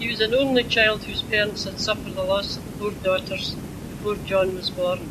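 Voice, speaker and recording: Noticeable background noise accompanies a woman at a medium pitch. She speaks at a moderate pace with fairly even intonation. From Glasgow, Scotland. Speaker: reminiscence group member. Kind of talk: reading a prepared memoir aloud. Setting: old magnetic tape recording. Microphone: old recording.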